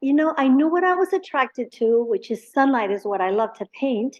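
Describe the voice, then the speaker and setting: A woman with a Spanish accent speaks at a high pitch, her intonation lively. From Mexico, Monterrey. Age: 60s. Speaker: painter. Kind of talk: interview. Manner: halting.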